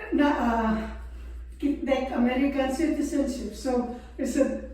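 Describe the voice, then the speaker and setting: Audible room echo and noticeable background noise, with a very slow pace and fairly even intonation. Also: woman. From Philippines. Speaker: veteran's wife. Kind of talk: interview.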